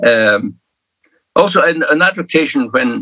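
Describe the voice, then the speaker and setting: At a moderate pace, a man speaks in a Scottish Highland accent with a bright, sharp tone. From Scottish Highlands. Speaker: minister and church leader. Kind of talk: interview.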